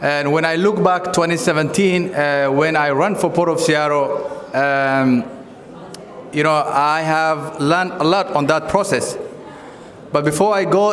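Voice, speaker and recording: A man at a fairly slow pace, fairly even in intonation, amid noticeable background noise and audible room echo. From Kenya (refugee camps), Somali. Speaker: community leader and former candidate. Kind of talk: campaign speech. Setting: community event with audience.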